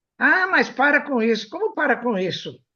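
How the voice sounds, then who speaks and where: The voice makes very wide pitch swings. It moves at a moderate pace. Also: woman. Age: 80s+. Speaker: radio host, anatomy professor. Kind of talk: casual chat. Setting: web radio studio.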